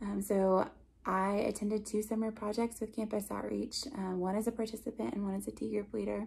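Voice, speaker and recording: At a fairly quick pace, a woman speaks in a somewhat breathy voice with fairly even intonation. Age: 30s. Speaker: campus ministry staff member. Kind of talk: recorded talk to camera. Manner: hesitant, frequent fillers. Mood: warm, smiling, candid. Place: home room. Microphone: phone near.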